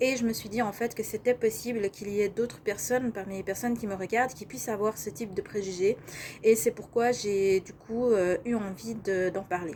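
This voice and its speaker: Speaking at a moderate pace, a woman has a medium pitch. Her tone is dark and mellow. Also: ordinary pitch variation. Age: 30s. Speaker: life coach. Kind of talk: vlog monologue.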